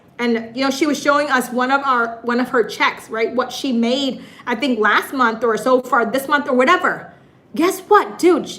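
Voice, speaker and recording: Over noticeable background noise, a woman with an American accent speaks in a high pitch at a moderate pace, with an animated tone and ordinary pitch variation. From US Midwest, Michigan. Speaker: YouTuber and live stream host. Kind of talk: live stream chat. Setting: live stream.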